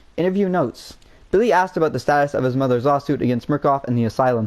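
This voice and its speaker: This man's voice sits fairly high in pitch. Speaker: gaming youtuber. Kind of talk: gameplay commentary. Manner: fast; animated.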